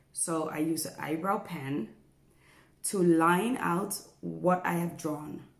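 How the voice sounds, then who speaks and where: With a fairly low pitch and some vocal fry, a woman talks over audible room echo. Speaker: beauty vlogger. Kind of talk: tutorial.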